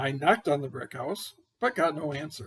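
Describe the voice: A man's cartoonish character voice, fairly high-pitched and fairly bright, with a husky, rough edge, lively intonation and a moderate pace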